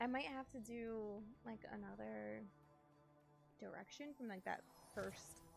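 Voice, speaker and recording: Over music in the background, a woman speaks at a fairly slow pace, leaving long, frequent pauses. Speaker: video game streamer. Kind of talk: live gameplay stream chat. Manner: animated.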